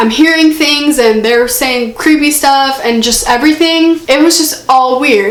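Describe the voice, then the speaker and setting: The speaker talks at a moderate pace with ordinary pitch variation, amid audible room echo and noticeable background noise. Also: woman. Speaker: YouTuber. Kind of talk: storytime vlog. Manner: casual, filler-heavy.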